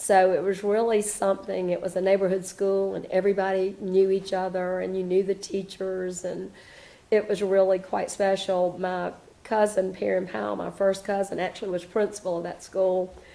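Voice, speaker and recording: In a very clean recording with a silent background, a woman with a Southern US accent speaks at a medium pitch in a monotone, flat intonation with a dark, mellow tone. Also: moderate pace. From South Carolina, Spartanburg. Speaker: interviewee. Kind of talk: oral history interview. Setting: at home. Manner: hesitant, many fillers.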